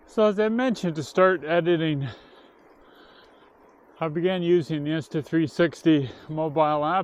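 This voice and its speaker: Over a quiet background, a man talks at a moderate pace with long, frequent pauses. His pitch is fairly high, with ordinary variation. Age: 60s. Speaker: retired hobby cycling vlogger. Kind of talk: casual talk to camera. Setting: outdoors.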